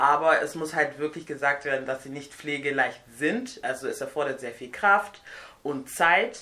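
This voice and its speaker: A woman speaks with a very deep, low pitch, ordinary pitch variation and big swings in loudness. Noticeable background noise runs underneath. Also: moderate pace. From Nigeria. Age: 20s. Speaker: hair and beauty guest. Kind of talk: casual chat.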